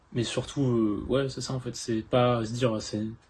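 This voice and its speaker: Somewhat breathy, a man speaks at a medium pitch and a fairly slow pace. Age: 18. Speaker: interviewee, narrator's boyfriend. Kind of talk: interview answers. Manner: hesitant, many fillers.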